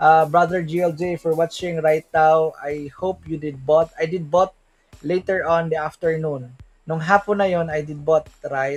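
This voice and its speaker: Over music in the background, the voice holds a monotone, flat intonation. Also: man, fairly high pitch for a man, moderate pace. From Philippines. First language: Tagalog/Bisaya. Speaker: crypto livestream host. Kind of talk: livestream market analysis. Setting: livestream. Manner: halting, self-correcting; stiff English.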